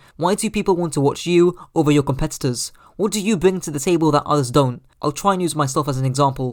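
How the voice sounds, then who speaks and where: A man with a British accent speaks very fast, his voice fairly high in pitch. His pitch moves up and down in an ordinary way. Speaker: gaming YouTuber. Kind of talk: scripted narration.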